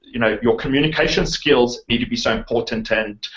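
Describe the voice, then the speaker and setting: Here a man speaks with a South African accent. His pace is fairly quick and his intonation lively. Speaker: online marketer, interviewer. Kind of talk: interview.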